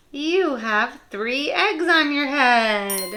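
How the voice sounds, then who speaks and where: A woman's put-on character voice, high in pitch. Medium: read story. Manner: calm, matter-of-fact.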